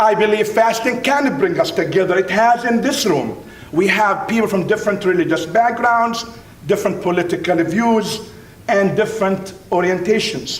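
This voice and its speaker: A man speaks at a high pitch and very even loudness. Noticeable background noise and audible room echo are present. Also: ordinary pitch variation, moderate pace. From Middle East (Palestinian Jordanian). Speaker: university professor and speaker. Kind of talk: keynote speech. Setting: dinner event with audience. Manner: emphatic, repetitive.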